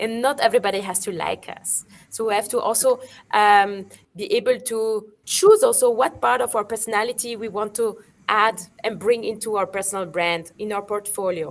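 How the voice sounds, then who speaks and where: With a French accent, a woman speaks at a fairly high pitch and moderate pace, her intonation fairly even. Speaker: digital marketing expert. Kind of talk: webinar panel discussion. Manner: halting, many fillers.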